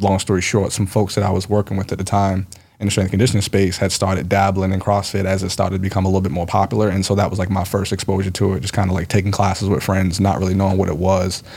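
A man's very deep, low voice, very fast and somewhat breathy, flat and monotone with hardly any pauses. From US, Baltimore. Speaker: gym owner and fitness trainer. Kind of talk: casual interview.

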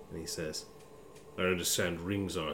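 Noticeable background noise sits behind a man with a very deep, low voice. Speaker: game master voicing a monster character. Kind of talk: tabletop roleplaying game, in-character dramatic monologue as a monster and the Warden.

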